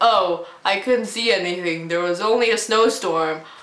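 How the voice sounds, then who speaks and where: A woman's put-on character voice at a medium pitch, with audible echo. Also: moderate pace. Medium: solo performance.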